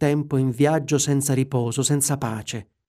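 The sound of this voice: The voice reads in an unforced way. Its intonation stays fairly even throughout.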